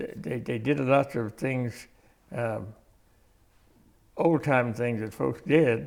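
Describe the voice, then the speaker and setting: Speaking at a very slow pace with long, frequent pauses, a man uses a medium pitch, lively intonation and vocal fry. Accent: American. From Independence, Kansas area, US Midwest. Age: 90s (91). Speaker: community elder. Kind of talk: interview. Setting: library. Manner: halting, repetitive.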